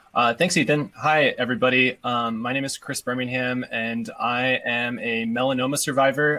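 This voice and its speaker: At a moderate pace with hardly any pauses, a man speaks at a medium pitch with fairly even intonation over noticeable background noise. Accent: American. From Washington state. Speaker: PhD student, cancer survivor. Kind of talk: panel introduction.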